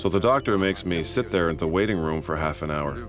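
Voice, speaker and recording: Very fast speech from a man with ordinary pitch variation, music in the background. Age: 60s. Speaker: dubbing voice for a person living with HIV. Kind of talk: scripted voice-over of testimony.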